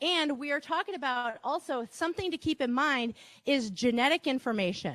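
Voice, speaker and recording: An animated tone in a Wisconsin accent, with very wide pitch swings at a moderate pace, in dry, close sound with no echo. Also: woman. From Wisconsin, Reedsburg. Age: 50s. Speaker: marketing workshop presenter. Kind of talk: presentation to live audience. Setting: stage with audience, broadcast live. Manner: animated, talkative.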